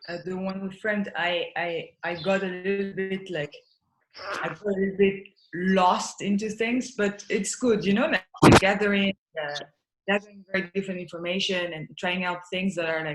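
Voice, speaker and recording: Fairly even intonation from a woman in a French accent, at a medium pitch and moderate pace. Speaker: artist. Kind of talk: casual chat. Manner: halting.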